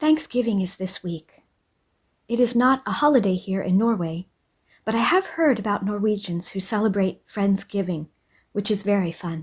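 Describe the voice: A woman's voice with a slightly husky edge and a slightly mellow tone. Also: medium pitch for a woman, ordinary pitch variation, moderate pace.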